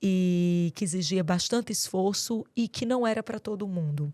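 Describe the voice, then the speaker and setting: A woman's fairly slow speech, very clean recording, silent background. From Brazil, Rio Grande do Norte interior. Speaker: doctor and mentor. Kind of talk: podcast interview.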